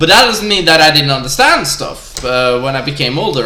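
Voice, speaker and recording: A man with a Norwegian accent talks fairly quickly at a fairly high pitch with lively intonation, amid noticeable background noise and audible room echo. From Norway. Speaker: gamer vlogger. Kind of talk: casual rant. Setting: live stream. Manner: animated; halting.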